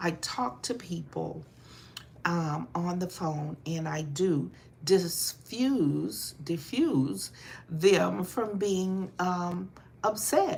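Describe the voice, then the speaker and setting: A woman speaks at a very slow pace in a fairly low, somewhat breathy voice. Her intonation is lively. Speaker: motivational speaker. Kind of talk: motivational talk. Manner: rises in volume when passionate.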